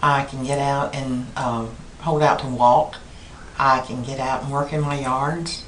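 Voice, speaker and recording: A woman with a Southern US accent talks at a fairly slow pace in a very deep, low voice with monotone, flat intonation, with noticeable background noise and audible room echo. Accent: Southern US (Georgia). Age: 60s. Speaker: surgery patient. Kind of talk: interview testimonial. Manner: casual, conversational.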